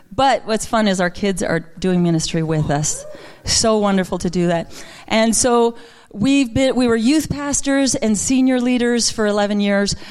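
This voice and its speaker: Against noticeable background noise, a woman speaks fairly slowly at a fairly high pitch. Her intonation is lively and her loudness very even. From Quebec. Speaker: minister. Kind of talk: sermon. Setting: church.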